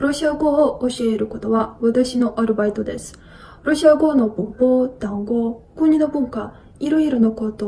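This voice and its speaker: A woman speaking at a moderate pace with ordinary pitch variation. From Russia. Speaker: language tutor. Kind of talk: self-introduction video. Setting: recorded video. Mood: calm, friendly. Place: home room. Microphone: phone near.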